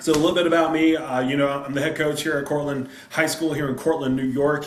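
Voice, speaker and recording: A man's fairly quick speech comes with audible room echo and noticeable background noise. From South Carolina. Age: 30s. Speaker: high school football coach. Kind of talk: presentation on a video call. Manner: animated.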